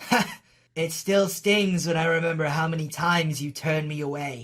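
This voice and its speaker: A man puts on a raspy character voice, pitched fairly high. He speaks at a moderate pace. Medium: dub.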